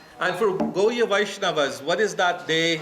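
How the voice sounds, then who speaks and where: Amid noticeable background noise and audible room echo, a man speaks at a moderate pace in a high voice with fairly even intonation. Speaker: temple speaker. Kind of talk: religious class with audience questions. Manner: hesitant with fillers.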